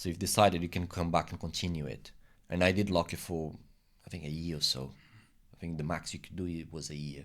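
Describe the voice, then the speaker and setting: A man with a Portuguese accent talks at a very fast pace in a very deep, low pitch. His loudness swings widely. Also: fairly even intonation. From Brazil. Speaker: immigrant interviewee. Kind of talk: casual interview. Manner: halting, many repetitions.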